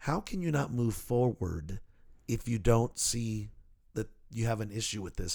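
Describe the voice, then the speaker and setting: A man with a plain, everyday voice speaks at a medium pitch and a moderate pace in a very clean recording with a silent background. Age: 50s. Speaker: podcast host. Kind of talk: casual chat. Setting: studio.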